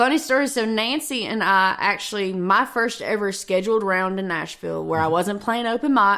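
With a Southern US accent, a woman talks at a moderate pace with hardly any pauses, her tone bright and sharp and her pitch varying in an ordinary way. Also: medium pitch for a woman. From Kentucky, near Paducah. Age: 20s. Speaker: singer-songwriter. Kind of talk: interview.

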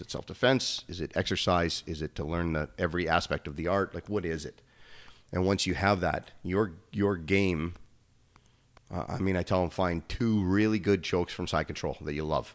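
A man speaks with a slight Canadian accent in a very deep, low voice, his intonation fairly even. The recording is very clean, with a silent background. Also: moderate pace. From Canada. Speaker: gym owner, former pro hockey player. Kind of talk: casual chat.

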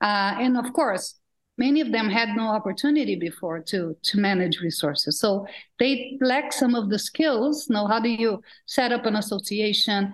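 Speaking at a moderate pace, a woman with a fairly high, somewhat breathy voice uses lively intonation at a very even loudness over a quiet background. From Brazil. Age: 50s. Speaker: philanthropist, fund founder. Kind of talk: panel discussion. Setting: video call.

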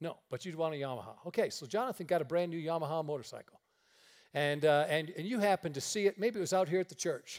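Someone with an American accent talks very fast, with ordinary pitch variation. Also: man, high pitch for a man. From upstate New York, near Niagara Falls. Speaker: traveling preacher. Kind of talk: sermon. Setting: church.

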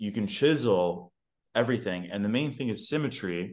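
Set against a quiet background, a man with an American accent talks at a fairly low pitch and moderate pace with ordinary pitch variation. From New York. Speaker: fitness coach. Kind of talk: casual chat. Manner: animated.

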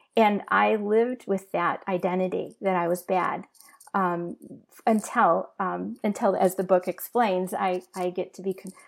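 A woman talks in an ordinary speaking voice at a medium pitch and a fairly slow pace, with ordinary pitch variation. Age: 60s. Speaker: abuse survivor and ministry leader. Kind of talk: testimony.

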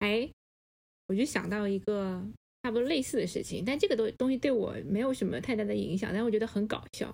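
A woman's plain, everyday voice, fairly high in pitch, with ordinary pitch variation and a fairly quick pace. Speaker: podcast co-host. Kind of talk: casual chat.

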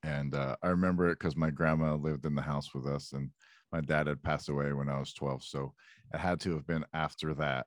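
Flat and monotone, a man speaks with a very deep, low pitch at a fairly quick pace. The sound is dry and close, with no echo. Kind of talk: casual chat. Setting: video call. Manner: crude, joking.

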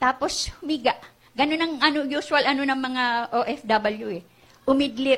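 This woman's voice sits high in pitch and carries an animated tone. She talks at a fairly slow pace. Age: 70s. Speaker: guest pastor. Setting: church, live in front of a congregation. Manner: animated, emotionally charged, pleading; shifting between Tagalog and English, with some halting restarts.

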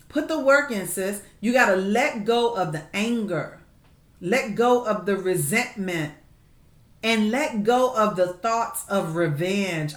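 Fairly slow speech in a warm tone with ordinary pitch variation and audible room echo. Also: woman. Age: 50s. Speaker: podcast host and therapist. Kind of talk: faith-based advice talk. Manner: warm, conversational.

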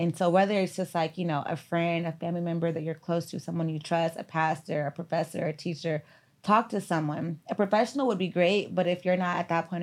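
A woman speaks in an ordinary speaking voice with an American accent. Her pitch is fairly low, her intonation fairly even, and her pace fairly quick. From US Midwest, Gary, Indiana. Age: 30s. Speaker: therapist. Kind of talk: casual chat.

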